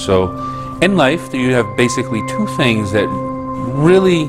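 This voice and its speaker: Clear music plays behind the voice. The speaker is a man. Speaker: tai chi instructor. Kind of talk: lecture. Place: classroom.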